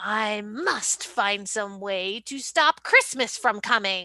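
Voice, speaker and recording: A woman speaks in a put-on character voice at medium pitch, very slowly, raspy and growling, with ordinary pitch variation. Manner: sneering, scheming.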